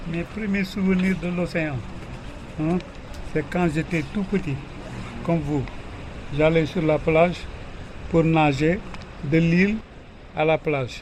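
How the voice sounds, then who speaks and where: A very slow pace with long, frequent pauses and fairly even intonation, amid noticeable background noise. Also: man, high pitch for a man. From Senegal, Ngor village near Dakar. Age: 70s. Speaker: village elder. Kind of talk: interview answers to children.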